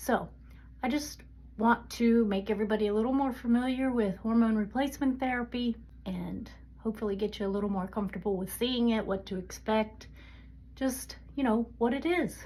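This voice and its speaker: A woman's fairly high voice, dark and mellow in tone, somewhat breathy. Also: ordinary pitch variation, fairly quick pace. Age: 60s. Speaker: menopause health content creator. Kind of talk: casual talk to camera. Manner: calm.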